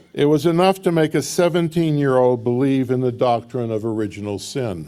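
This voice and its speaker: The speaker is a man with a dark, mellow tone. He moves at a fairly quick pace. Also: medium pitch for a man, lively intonation. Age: 70s. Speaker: minister. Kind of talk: sermon. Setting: church service, also streamed on video call.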